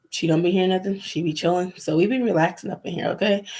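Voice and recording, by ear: A woman's fast-paced voice, fairly low-pitched, with a slightly mellow tone, a slightly husky edge and ordinary pitch variation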